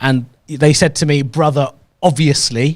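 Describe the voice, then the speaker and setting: Speaking with a London accent, a man keeps a fairly high pitch. His pace is very slow. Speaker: comedian. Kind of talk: casual chat.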